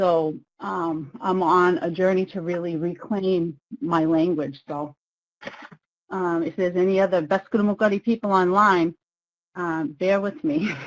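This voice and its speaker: Using an ordinary speaking voice, a woman with a fairly low pitch talks at a fairly slow pace with ordinary pitch variation. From Maine, US (Passamaquoddy community). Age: 50s. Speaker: webinar facilitator. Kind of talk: webinar presentation. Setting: online webinar.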